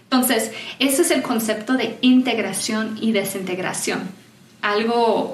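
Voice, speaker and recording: A woman's fairly high voice at a fairly slow pace, with ordinary pitch variation, very even loudness, audible room echo and noticeable background noise. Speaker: certified enneagram coach. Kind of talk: conference talk.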